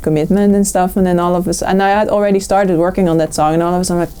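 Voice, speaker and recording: A woman speaks with a Dutch accent. Her intonation stays fairly even. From Netherlands. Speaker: singer-songwriter. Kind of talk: interview. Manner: halting.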